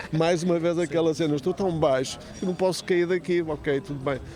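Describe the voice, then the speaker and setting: A man's fairly high voice at a fairly quick pace, intonation fairly even, with noticeable background noise. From Porto, Portugal. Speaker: lyricist and writer. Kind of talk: podcast interview answer.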